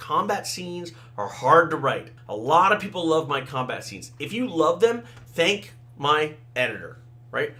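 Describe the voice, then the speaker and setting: A man's fairly high voice at a moderate pace, with very wide pitch swings and noticeable background noise. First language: Thai and Tamil. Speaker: fantasy author. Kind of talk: casual talk, solo podcast. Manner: conversational, with fillers.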